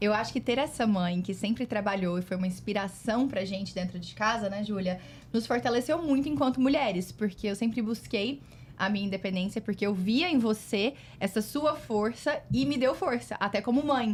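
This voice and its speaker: A woman speaks at a moderate pace in a fairly high, somewhat breathy voice. Her intonation is lively. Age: 30s. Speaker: guest, host's daughter. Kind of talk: casual family chat.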